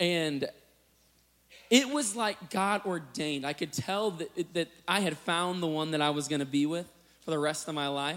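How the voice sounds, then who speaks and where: A man with an American accent at a moderate pace, with ordinary pitch variation. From US Midwest, Illinois. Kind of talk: sermon.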